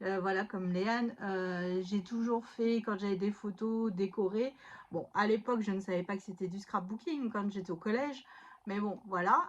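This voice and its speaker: A woman at medium pitch speaks fairly slowly, her intonation fairly even. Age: 30s. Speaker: stay-at-home mother and scrapbooking YouTuber. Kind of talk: casual chat. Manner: hesitant, many fillers.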